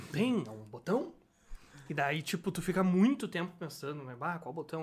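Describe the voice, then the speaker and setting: This is a man speaking. His intonation is lively. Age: 20s. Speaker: designer. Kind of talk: casual chat. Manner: animated.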